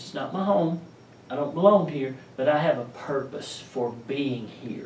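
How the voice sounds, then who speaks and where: A man with a fairly high pitch talks at a fairly slow pace, with ordinary pitch variation, big swings in loudness and audible room echo. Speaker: pastor. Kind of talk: sermon. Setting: pastor's office.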